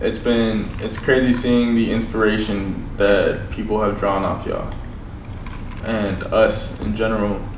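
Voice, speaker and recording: With an American accent, a man speaks at a fairly slow pace in a monotone, flat, medium-pitched voice, amid audible room echo and noticeable background noise. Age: 20s. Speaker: rapper. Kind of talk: casual chat. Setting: studio.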